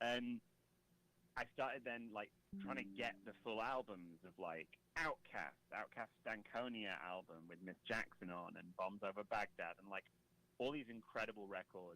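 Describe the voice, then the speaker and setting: This man talks in a British accent at a moderate pace. His pitch is fairly low, with ordinary pitch variation. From Britain. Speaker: comedy rapper. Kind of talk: casual chat.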